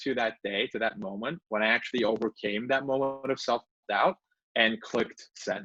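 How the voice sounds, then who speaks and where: A man speaks with a Turkish accent at medium pitch, with ordinary pitch variation. His tone is bright and sharp, and the sound is dry and close with no echo. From Turkey (Istanbul). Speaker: law professor and author. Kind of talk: book talk presentation.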